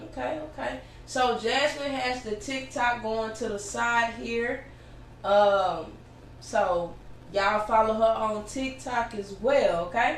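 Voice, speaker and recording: A woman's fairly high voice at a very slow pace, with ordinary pitch variation and audible room echo. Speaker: podcast host. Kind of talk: interview. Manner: loud.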